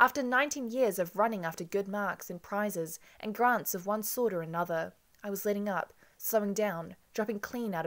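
Pitch variation is ordinary. It is a natural reading voice.

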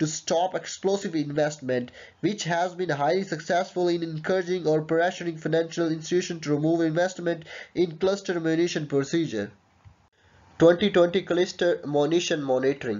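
Pitched fairly high, a man talks at a moderate pace with a slightly mellow tone and fairly even intonation.

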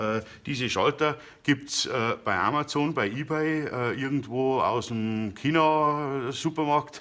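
A man's bright, sharp tone at a very slow pace, with ordinary pitch variation. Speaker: DIY woodworking YouTuber. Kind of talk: tutorial. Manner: hesitant, many filler sounds. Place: workshop. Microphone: phone near.

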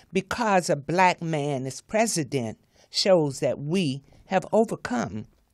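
With a Southern US accent, a woman talks at a very slow pace and a fairly low pitch. Her pitch swings very widely over a quiet background. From US South (Florida). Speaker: author; guest. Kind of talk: reading aloud her own commentary. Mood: earnest, indignant about racism. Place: studio. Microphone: studio mic.

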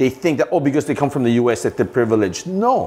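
This man's fairly high voice is somewhat breathy, and his intonation is lively. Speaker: football coach and business executive; football coach. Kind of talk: interview. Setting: studio. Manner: halting. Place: studio. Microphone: lapel.

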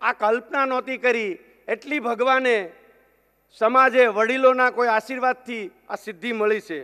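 In a raised, projected voice, a man speaks at extremely high pitch with fairly even intonation over a quiet background. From Gujarat, rural Saurashtra; Gujarat. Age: 50s. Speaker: businessman; speaker. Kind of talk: keynote speech. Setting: stage with audience. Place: hall. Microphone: podium.

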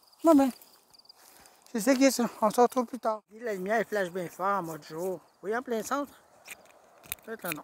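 Speaking with a Quebec accent, a man with a high voice keeps a moderate pace broken by long, frequent pauses, with ordinary pitch variation, big swings in loudness, and a dry, close sound with no echo. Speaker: YouTuber scavenging a dump. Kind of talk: vlog narration.

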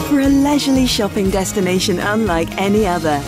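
Music plays behind a woman speaking at a medium pitch. Her voice makes very wide pitch swings. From United Kingdom. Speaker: voice actor. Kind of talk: TV commercial read.

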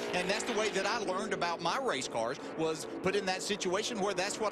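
Noticeable background noise behind a high-pitched man talking at a fairly quick pace. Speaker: race commentator. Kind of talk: live race commentary, pit and practice analysis. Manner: analytical, conversational play-by-play.

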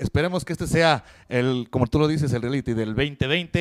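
In a quiet background, a man talks at a fairly quick pace with ordinary pitch variation. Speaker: wrestler, team captain. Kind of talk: wrestling promo-style interview answers. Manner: slightly nervous, halting, humble. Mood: happy, enthusiastic. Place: studio. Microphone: handheld.

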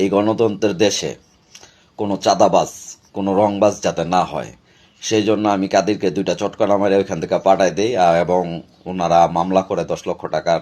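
A man with a fairly low pitch and monotone, flat intonation. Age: 40s. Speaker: local party activist. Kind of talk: video statement.

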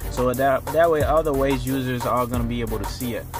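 Clear music plays behind a man who speaks at a moderate pace, the sound dry with no echo. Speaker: car audio installer demonstrating. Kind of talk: tutorial. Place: car. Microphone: phone near.

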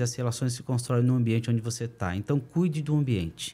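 This man's tone is dark and mellow. There is some breathiness to his voice. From Brazil. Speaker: entrepreneur; podcast guest. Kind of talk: interview. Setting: studio. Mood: calm, reflective. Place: studio. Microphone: studio mic.

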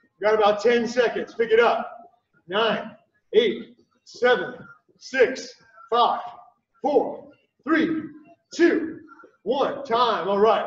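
A man speaks at a very slow pace with long, frequent pauses, with audible room echo and a quiet background. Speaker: fitness coach. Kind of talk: live-streamed workout class, calling out moves and timing cues. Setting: livestream video with viewer chat. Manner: clipped, rhythmic drill-style commands, repeated for pacing; upbeat, encouraging coach energy with cheers. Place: gym.

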